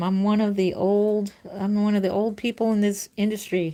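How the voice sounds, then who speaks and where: With an unremarkable speaking voice, a woman talks at a moderate pace with fairly even intonation. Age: 50s. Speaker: reborn doll artist and live streamer. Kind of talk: casual livestream chat while painting, reading viewer comments. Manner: warm, chatty.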